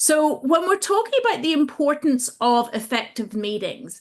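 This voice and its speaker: A woman speaks here. Her pace is fairly slow. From Britain. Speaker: agile trainer and coach. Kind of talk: webinar presentation. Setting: online video call.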